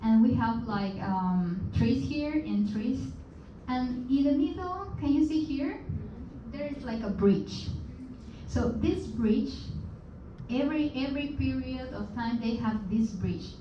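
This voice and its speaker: A woman's fairly high voice in a Peruvian accent, very slow with long, frequent pauses and lively intonation, amid noticeable background noise and audible room echo. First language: Spanish. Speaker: guest speaker. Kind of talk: presentation to seminar audience. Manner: halting, with frequent fillers and repetitions.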